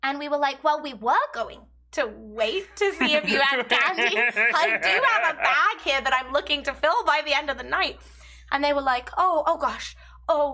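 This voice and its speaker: Her voice is raised and projected, high in pitch, with lively intonation. The woman keeps a moderate pace. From England. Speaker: gaming video co-host. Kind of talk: casual chat.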